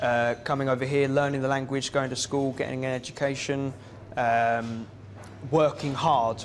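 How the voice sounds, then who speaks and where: Moderate pacing in a southeast English accent, with monotone, flat intonation, very even loudness and noticeable background noise. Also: man, medium pitch for a man. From England, Kent (Gravesend). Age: young. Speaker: local council candidate. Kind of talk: interview. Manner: hesitant, many fillers.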